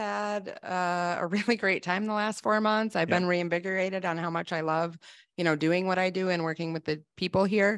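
With an American accent, a woman speaks at a moderate pace and medium pitch, with ordinary pitch variation and a quiet background. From Wisconsin. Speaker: sales executive. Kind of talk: live webinar interview. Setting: video call. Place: office. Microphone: studio mic.

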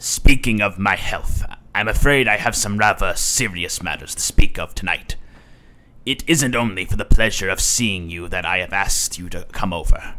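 A man talks at a moderate pace, his loudness swinging widely while his pitch varies in an ordinary way. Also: fairly low pitch for a man. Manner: warm, fatherly.

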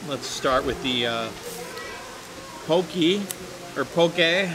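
Slow-paced speech from a man with lively intonation over clear background noise.

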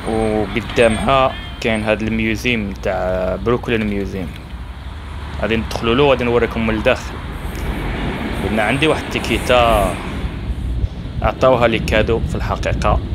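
A man speaks at a moderate pace with long, frequent pauses. Noticeable background noise runs behind him. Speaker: travel vlogger. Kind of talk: casual vlog commentary. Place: street. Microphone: phone near.

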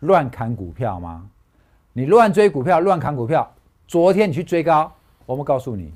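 Against a quiet background, a man talks at a moderate pace in an animated tone, his pitch swinging very widely. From Taiwan. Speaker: stock market analyst; stock market analyst host. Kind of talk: casual chat. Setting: studio. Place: studio. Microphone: lapel.

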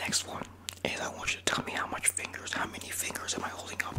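Against noticeable background noise, a soft-spoken man talks at a moderate pace. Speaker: video creator. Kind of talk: playful role-play talk to camera. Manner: soft close-mic ASMR roleplay speech. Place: home room. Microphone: studio mic.

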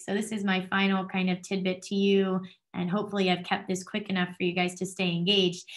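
A woman with an American accent and a bright, sharp tone against a quiet background. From New Jersey. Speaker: doctoral student in school psychology. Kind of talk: presentation. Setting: video call. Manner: fast. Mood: friendly, enthusiastic. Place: home room. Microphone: webcam.

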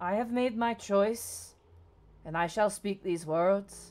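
The voice sounds female and sits at a middle pitch. It is a put-on character voice. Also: fairly slow pace. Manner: proud, formal.

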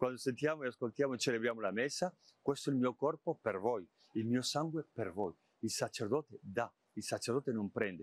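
Speaking fairly quickly at a medium pitch with ordinary pitch variation, a man is heard in a dry sound with no echo. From Spain. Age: 50s. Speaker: cardinal and bishop; bishop. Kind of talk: interview. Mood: calm, reflective. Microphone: lapel.

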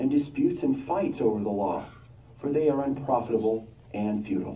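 Here a man talks in an ordinary speaking voice. His pace is moderate and his pitch variation ordinary. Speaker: congregation member. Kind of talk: Bible reading aloud.

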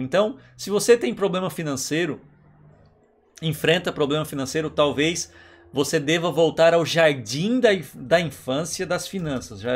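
A man with a fairly high voice talks very slowly, his intonation lively. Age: 40s. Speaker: online educator. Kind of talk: lecture. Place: home room.

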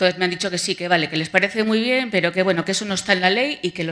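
Bright and sharp in tone, a woman speaks with ordinary pitch variation. The background is quiet. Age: 50s. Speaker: patient advocate. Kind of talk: testimony. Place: hall. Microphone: podium.

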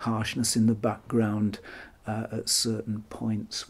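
A man speaking at a fairly slow pace. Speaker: camera lens reviewer. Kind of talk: tutorial review talk. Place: home room.

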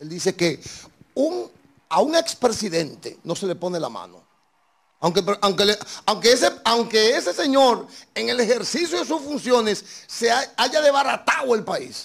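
Over a quiet background, a man with a high pitch and an animated tone talks at a fairly slow pace, his pitch swinging very widely. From Dominican Republic. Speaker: talk show host. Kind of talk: political interview; interview answer. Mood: indignant political criticism. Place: studio. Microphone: handheld.

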